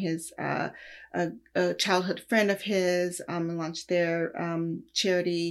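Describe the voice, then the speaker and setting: A woman with an American accent and a plain, everyday voice speaks at a fairly slow pace, her fairly low pitch carrying fairly even intonation. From Los Angeles. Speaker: music industry executive. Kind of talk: interview. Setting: video call.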